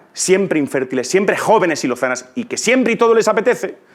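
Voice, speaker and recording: A man talks at a fairly quick pace in an animated tone. His pitch swings very widely. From Spain, Ciudad Real (La Mancha). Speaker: conference speaker, teacher. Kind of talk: conference talk. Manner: animated, conversational.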